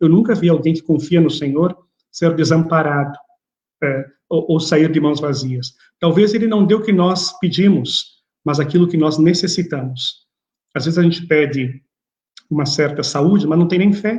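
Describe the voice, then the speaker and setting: At a moderate pace, a man with a fairly high voice for a man and ordinary pitch variation speaks, leaving long, frequent pauses. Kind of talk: religious lecture.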